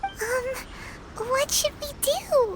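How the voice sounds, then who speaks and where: Over light background noise, a put-on character voice squeaks along at an extremely high pitch. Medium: video game. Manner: casual, excitable.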